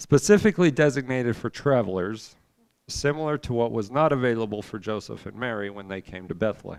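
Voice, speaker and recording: A man talks at a fairly quick pace and medium pitch, in a plain, everyday voice. His intonation is lively, and his loudness swings widely. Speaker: Bible class teacher. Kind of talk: Bible class lecture.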